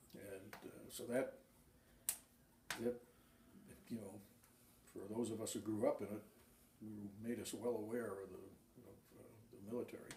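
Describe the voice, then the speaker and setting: In an American accent, a man speaks at a moderate pace and a fairly low pitch, his intonation flat and monotone, with long, frequent pauses, big swings in loudness and audible room echo. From Massachusetts. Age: 70s. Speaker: war veteran. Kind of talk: oral history interview. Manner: halting, many fillers.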